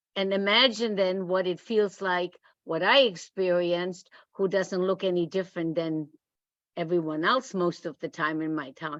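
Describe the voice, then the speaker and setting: A woman at a fairly slow pace, with a non-native accent. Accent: foreign. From outside the US. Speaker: retired history teacher. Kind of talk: group discussion. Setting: video call.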